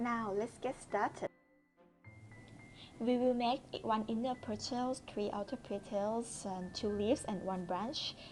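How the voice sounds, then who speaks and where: Quietly and very slowly, a woman speaks at a fairly high pitch with ordinary pitch variation as music plays in the background. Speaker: crochet instructor. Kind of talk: crochet tutorial narration. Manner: quiet, low volume.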